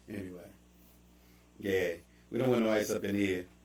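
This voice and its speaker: A man talks at a fairly quick pace with a Baltimore accent. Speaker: livestream host. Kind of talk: casual chat. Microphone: bad audio.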